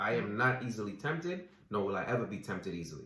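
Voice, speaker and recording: A man with an American accent, fairly low-pitched and bright, sharp in tone, at a fairly quick pace with lively intonation amid audible room echo. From US Virgin Islands, Saint Croix. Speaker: recording artist. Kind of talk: casual chat.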